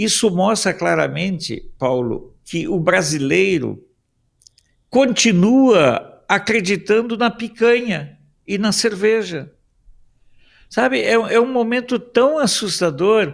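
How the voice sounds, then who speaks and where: A high-pitched man speaks at a very slow pace. His intonation is lively. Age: 60s. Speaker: political commentator. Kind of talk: talk show commentary.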